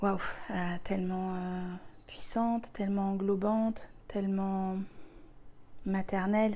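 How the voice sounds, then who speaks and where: A woman's dark, mellow voice at medium pitch, monotone and flat, with audible room echo. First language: Spanish (speaking French). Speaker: spiritual healer, retreat leader. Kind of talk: personal spiritual talk to viewers. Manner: hesitant, many fillers and repetitions.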